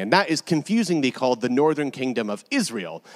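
A man with an American accent, fairly high in pitch, at a moderate pace with very wide pitch swings. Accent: American, noticeable to British audience. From California. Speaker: preacher and New Testament lecturer. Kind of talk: sermon. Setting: church with congregation.

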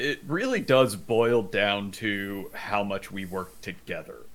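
In a normal speaking voice, a man talks at a fairly low pitch with fairly even intonation. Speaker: sim racing driver. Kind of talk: casual chat.

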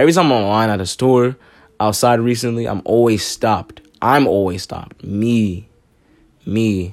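At a moderate pace, a man speaks in a relaxed tone at a medium pitch with ordinary pitch variation. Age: 20s. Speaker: podcast host. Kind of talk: casual monologue.

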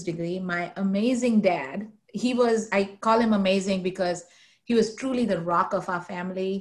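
Somewhat breathy and medium in pitch, a woman speaks at a fairly slow pace with ordinary pitch variation. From India, Mumbai. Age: 40s. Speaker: nonprofit corporate relations officer. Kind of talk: interview conversation.

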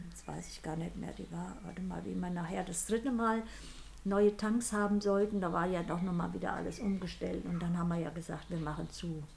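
There is audible room echo and noticeable background noise. A woman speaks at a fairly quick pace. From Sudetenland, Czech Republic; raised in Hesse. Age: 80s+. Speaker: grandmother. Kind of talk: casual chat. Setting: sitting beside the host. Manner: halting.

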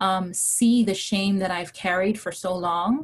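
Her speech comes out fairly slowly. There is a somewhat breathy quality to her voice. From Hawaii. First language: non-English, immigrant. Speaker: testimony speaker, mother. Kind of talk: testimony.

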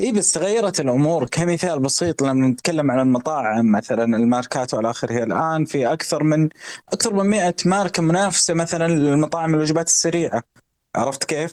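An ordinary speaking voice from a man, fairly high in pitch, with lively intonation, very even loudness and a moderate pace. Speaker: economic commentator. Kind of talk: casual chat.

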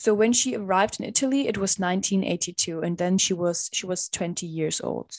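A woman with a non-native accent speaks at a moderate pace with hardly any pauses. Her pitch is medium, with ordinary pitch variation. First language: not English. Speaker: podcast co-host. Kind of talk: casual storytelling. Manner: halting, self-correcting.

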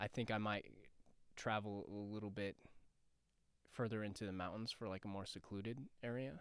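In an American accent, a speaker talks at a fairly quick pace in a monotone, flat intonation, broken by long, frequent pauses. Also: man, fairly low pitch for a man. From Denver, Colorado. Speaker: actor. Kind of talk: casual chat. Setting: studio.

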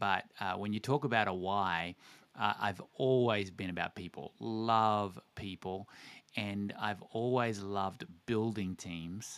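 A man with an Australian accent speaks in a fairly low voice with ordinary pitch variation. The recording is very clean, with a silent background. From Australia, Tasmania. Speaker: organization CEO and former pastor. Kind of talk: interview conversation.

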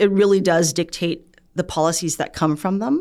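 A woman speaks with vocal fry and fairly even intonation. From Canada. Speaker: physician and researcher. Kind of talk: interview.

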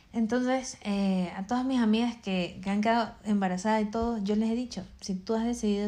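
A woman with a medium pitch and dark, mellow, somewhat breathy tone talks at a moderate pace with ordinary pitch variation. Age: 20s. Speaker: podcast host and makeup school owner. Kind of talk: casual chat. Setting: at home.

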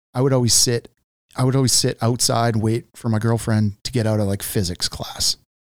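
At a moderate pace, a man with a plain, everyday voice talks at medium pitch with fairly even intonation, the sound dry and close with no echo. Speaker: journeyman lineman and podcast host. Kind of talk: casual interview conversation. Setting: studio.

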